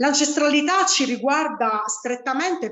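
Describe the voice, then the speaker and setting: A woman speaks with lively intonation. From Sicily. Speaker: spiritual teacher. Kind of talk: online lecture. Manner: halting, many fillers.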